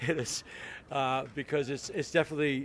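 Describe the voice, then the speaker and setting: In an East Coast US accent, a man speaks at a moderate pace and medium pitch. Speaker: city mayor. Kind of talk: public speech at ceremony. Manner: halting, many fillers and repeats.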